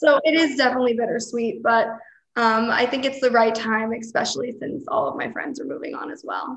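Speaking fairly quickly in an American accent, a woman shows lively intonation, vocal fry and big swings in loudness. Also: fairly high pitch for a woman. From Pennsylvania. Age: 20s. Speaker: recent architecture graduate. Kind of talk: casual chat.

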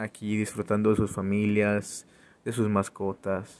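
A man talks with a fairly low pitch. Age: 30s. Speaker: podcaster and entrepreneur. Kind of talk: motivational monologue. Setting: outdoors. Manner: halting.

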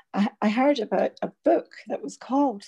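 In a dry, close sound with no echo, a woman speaks fairly slowly with a dark, mellow tone, vocal fry and lively intonation. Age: 60s. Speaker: teacher and workshop facilitator. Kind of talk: casual chat. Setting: remote recording from home during lockdown.

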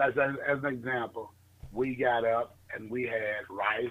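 A man talks in a Southern US accent. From US South, northern Mississippi. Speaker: financial marketing entrepreneur. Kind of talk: interview.

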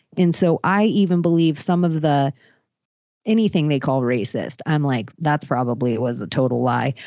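Her pitch very deep and low, a woman talks at a moderate pace with lively intonation and very even loudness. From Florida, Palm Beach. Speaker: podcaster. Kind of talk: casual chat.

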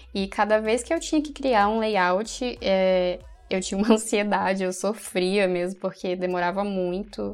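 A woman's unremarkable speaking voice, medium in pitch, with ordinary pitch variation and a fairly slow pace. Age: 20s. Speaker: pharmacy student and content creator. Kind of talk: casual interview.

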